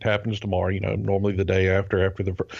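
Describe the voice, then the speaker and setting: A man with a Southern US accent speaks at a fairly low pitch in a monotone, flat intonation. His background is quiet. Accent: Southern American drawl, noticeable. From US South. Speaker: podcast co-host and private pilot. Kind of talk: casual chat. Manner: hesitant, many fillers.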